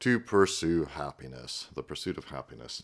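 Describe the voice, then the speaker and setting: Over a very clean recording with a silent background, a man speaks at a moderate pace in a very deep, low pitch. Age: 50s. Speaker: political commentator. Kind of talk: reaction commentary. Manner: conversational with fillers.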